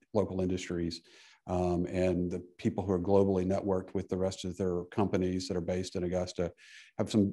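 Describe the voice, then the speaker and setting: Against a quiet background, a man speaks with a very deep, low pitch and a dark, mellow tone. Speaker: public witness. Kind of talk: committee testimony. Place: hall. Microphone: podium.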